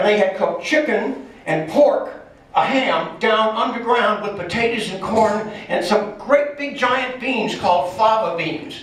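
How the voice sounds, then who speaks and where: Amid noticeable background noise and audible room echo, a man speaks at a fairly slow pace. His voice is high with lively intonation. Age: 70s. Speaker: teacher giving a travel talk. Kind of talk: slide presentation talk to a club. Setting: club meeting at a church. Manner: conversational, halting.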